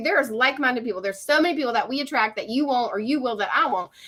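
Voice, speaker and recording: A woman's high, bright, sharp voice, raised and projected, with an Appalachian accent and ordinary pitch variation. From West Virginia. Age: 40s. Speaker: social media coach. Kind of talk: live stream. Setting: live stream on video call. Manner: animated.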